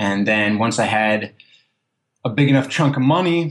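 The speaker is a man. He has a Philadelphia accent. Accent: Philadelphia-area. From US Northeast (South Jersey). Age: 20s. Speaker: long-distance walker. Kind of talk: interview.

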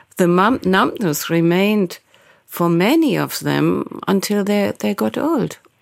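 The woman's delivery is fairly slow. She talks with a German accent. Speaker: journalist. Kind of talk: interview.

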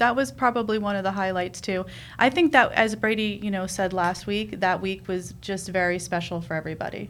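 A plain, everyday voice from a woman with an American accent, medium pitch, ordinary pitch variation and a fairly quick pace. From New York, Queens. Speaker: dance mom, reality TV cast member. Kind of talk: casual chat.

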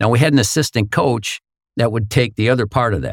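In a very clean recording with a silent background, a man speaks with an American accent and vocal fry. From northern Minnesota, Hibbing. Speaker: hockey commentator, former pro hockey player. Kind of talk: interview, casual storytelling.

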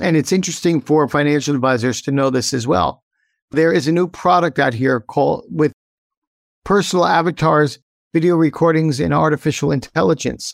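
A man with an American accent, in a normal speaking voice at a fairly high pitch for a man, with ordinary pitch variation and a fairly quick pace, dry and close with no echo, on a very clean recording with a silent background. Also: very even loudness. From upstate New York. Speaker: tech company CEO. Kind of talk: interview.

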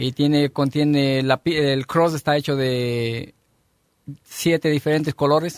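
A man speaks very slowly in a fairly high, monotone, flat voice. The sound is dry and close, with no echo. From Ecuador. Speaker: restaurant chef. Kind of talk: interview explaining dishes.

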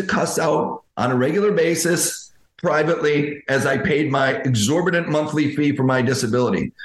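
A man's fairly high voice at a moderate pace, with ordinary pitch variation, very even loudness and audible room echo. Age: 50s. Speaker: dental coach, former dentist. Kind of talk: interview. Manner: halting.

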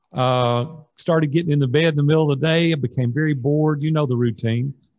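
Using a Tennessee accent, a man speaks at a fairly quick pace with fairly high pitch and ordinary pitch variation. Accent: Southern US (Tennessee). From Nashville, Tennessee. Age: 60s. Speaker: business coach. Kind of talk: interview.

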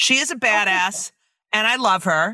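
A woman with a bright, sharp tone and very wide pitch swings speaks at a fairly slow pace, recorded very cleanly against a silent background with a dry, close sound and no echo. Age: 50s. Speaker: comedian and podcast host. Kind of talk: casual chat. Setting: studio.

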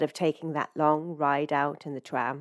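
A woman with an English accent speaks at a moderate pace, recorded very cleanly against a silent background. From England. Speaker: fiction writer. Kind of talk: reading aloud. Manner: hesitant, many fillers.

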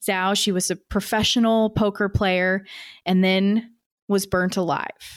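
Fairly slow and flat, a woman speaks at a medium pitch with very even loudness in a very clean recording with a silent background. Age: 30s. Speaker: podcast host, news producer. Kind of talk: interview.

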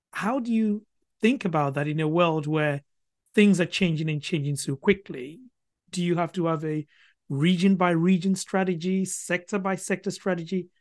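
Here a man speaks with a high pitch. His pace is moderate. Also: ordinary pitch variation, quiet background. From Ghana. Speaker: podcast host. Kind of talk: interview.

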